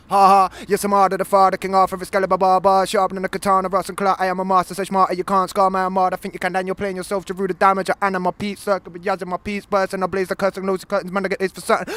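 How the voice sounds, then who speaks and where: A man talks at a very fast pace in a high-pitched voice. Music plays in the background, and the sound is dry and close with no echo. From Leicester, England. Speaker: battle rapper. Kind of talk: casual shout-outs; freestyle rap. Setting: music venue gig.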